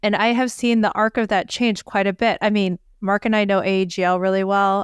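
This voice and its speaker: In a plain, everyday voice, a woman speaks at a moderate pace with medium pitch and fairly even intonation on a very clean recording with a silent background. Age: 50s. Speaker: physician podcast co-host. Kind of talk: casual podcast discussion.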